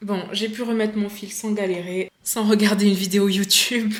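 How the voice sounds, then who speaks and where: A woman talks at a moderate pace, her pitch medium. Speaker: sewing vlogger. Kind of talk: casual vlog tutorial. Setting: at home. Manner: animated.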